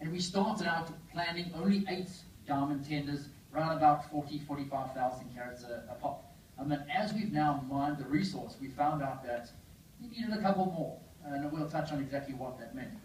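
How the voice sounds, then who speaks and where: A man's fairly high, fairly quick voice with ordinary pitch variation, audible room echo and noticeable background noise. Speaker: mining company CEO. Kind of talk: investor presentation. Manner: fast; hesitant, many fillers.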